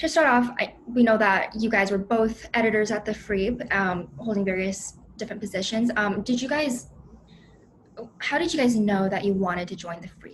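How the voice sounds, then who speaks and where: A woman speaks at a moderate pace in a plain, everyday voice, fairly high in pitch with ordinary pitch variation. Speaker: student newspaper editor, moderator. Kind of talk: panel moderation.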